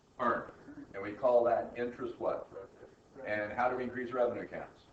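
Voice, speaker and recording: A man with an American accent talks at a fairly quick pace, with audible room echo. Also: medium pitch for a man. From US South. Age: old. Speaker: accounting professor. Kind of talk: lecture. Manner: animated.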